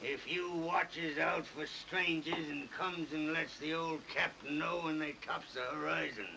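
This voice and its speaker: Putting on a gruff character voice, a man speaks high in pitch at a moderate pace over clear background noise. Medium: audio drama. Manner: gruff, seafaring dialect.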